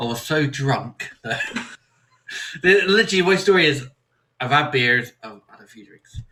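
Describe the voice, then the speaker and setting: A man in a West Country accent, fairly high-pitched with a bright, sharp tone, lively intonation, big swings in loudness and long, frequent pauses. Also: moderate pace. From Somerset, South West England. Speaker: podcast host. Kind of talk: casual chat.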